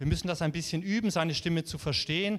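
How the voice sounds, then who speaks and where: Pitched high and showing ordinary pitch variation, a man speaks on a very clean recording against a silent background. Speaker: preacher. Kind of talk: sermon. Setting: church. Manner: animated, warm and encouraging, preaching with conviction; conversational, with occasional filler words and self-corrections.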